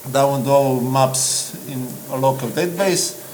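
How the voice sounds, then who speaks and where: Audible room echo and noticeable background noise surround the voice. A man speaks with a fairly high pitch. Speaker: app developer. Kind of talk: acceptance speech; interview. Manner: halting.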